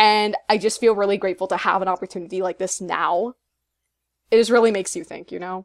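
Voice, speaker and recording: A woman with a medium pitch speaks at a very fast pace, with fairly even intonation. Her loudness swings widely, and the sound is dry and close with no echo. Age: 20s. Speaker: podcast co-host. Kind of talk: casual chat.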